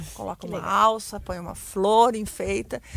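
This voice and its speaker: Here is a woman with an unremarkable speaking voice. She talks at a medium pitch and a moderate pace. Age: 50s. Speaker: bank worker and entrepreneur. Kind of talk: radio panel discussion. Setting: studio.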